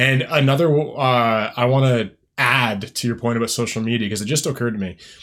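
A man's plain, everyday voice at medium pitch and a moderate pace, fairly even in intonation, on a very clean recording with a silent background. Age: 20s. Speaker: podcast host. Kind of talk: casual interview.

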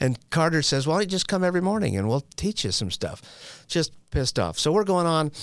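On a very clean recording with a silent background, a man with an American accent speaks at a fairly quick pace. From Utah. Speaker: person in long-term addiction recovery, known in the recovery field. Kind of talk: personal recovery testimony. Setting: studio.

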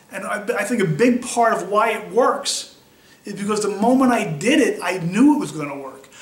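A man's high voice with lively intonation and an American accent, over noticeable background noise and audible room echo. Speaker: wheelchair athlete. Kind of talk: personal testimony interview. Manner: conversational, with fillers and restarts.

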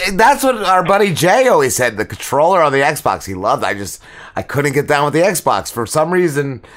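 Over noticeable background noise, a man with a fairly high pitch talks at a fairly quick pace, his voice making very wide pitch swings. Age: 40s. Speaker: podcast co-host. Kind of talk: casual chat.

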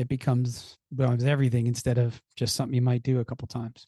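A man's dark, mellow, somewhat breathy voice in a monotone, flat intonation at a fairly quick pace. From Philadelphia area, US. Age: 50s. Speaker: business coach and entrepreneur. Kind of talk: casual interview conversation.

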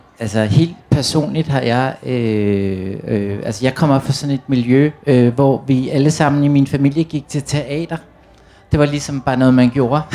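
A man at a medium pitch and a fairly slow pace, with noticeable background noise. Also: ordinary pitch variation. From Copenhagen (Amager), Denmark. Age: 40s. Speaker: author of youth books. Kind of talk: panel discussion. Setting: tent stage with audience.

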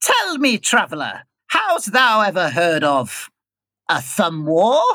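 A raspy, put-on character voice sits at a middle pitch with very wide pitch swings. It moves at a fairly slow pace. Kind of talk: archaic, old-fashioned speech. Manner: leaning in.

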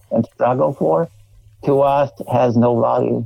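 A man speaks with a Polish accent. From Poland. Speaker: refugee from communism. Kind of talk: interview. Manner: halting.

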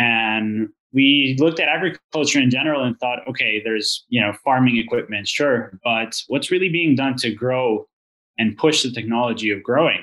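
At a moderate pace, a man speaks in a bright, sharp tone at a medium pitch with ordinary pitch variation. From Venezuela. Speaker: vertical farm co-founder, business side. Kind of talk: podcast interview.

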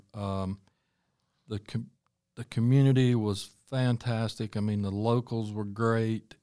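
A man with a North Carolina accent, medium pitch and a dark, mellow tone, monotone and flat, at a fairly slow pace with long, frequent pauses. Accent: US Southern (North Carolina). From Charlotte, North Carolina. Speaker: restaurant owner and chef. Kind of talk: casual interview.

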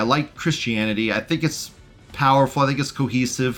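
With music in the background, a man speaks at a moderate pace in a medium pitch with ordinary pitch variation. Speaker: far-right podcast host. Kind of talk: angry rant. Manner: loud, furious, ranting, spewing hateful venom.

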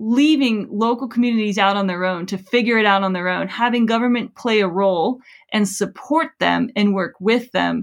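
This woman has an ordinary speaking voice at medium pitch. She moves at a moderate pace with ordinary pitch variation. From US South, South Florida. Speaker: professor and author. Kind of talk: interview. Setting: webinar video call.

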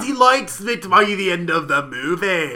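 A man puts on a character voice at a high pitch. He keeps a moderate pace.

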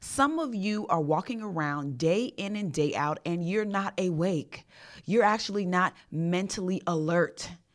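An animated woman's voice at a medium pitch, with ordinary pitch variation, on a very clean recording with a silent background. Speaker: podcast host and leadership coach. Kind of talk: solo podcast monologue on leadership. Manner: fast.

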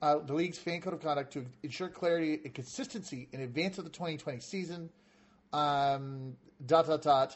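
Moderate pace and ordinary pitch variation, in a somewhat breathy voice. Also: man, fairly high pitch for a man. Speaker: podcast host. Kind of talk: casual chat.

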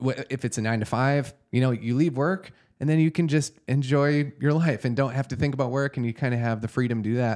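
A man speaks in an ordinary speaking voice at medium pitch, fairly quick, with fairly even intonation and hardly any pauses. The recording is very clean, with a silent background. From US South. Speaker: podcast host. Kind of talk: casual interview.

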